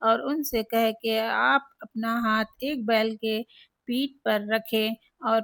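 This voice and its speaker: On a very clean recording with a silent background and a dry, close sound with no echo, a woman with a plain, everyday voice speaks at fairly high pitch with fairly even intonation. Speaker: religious speaker. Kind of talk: religious text reading.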